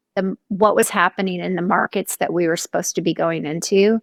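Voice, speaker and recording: A woman's medium-pitched voice with an American accent, fairly even intonation, and a dry, close sound with no echo. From US West Coast (Southern California). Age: 60s. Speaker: author and brand strategist. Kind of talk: interview conversation. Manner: halting, many fillers and restarts.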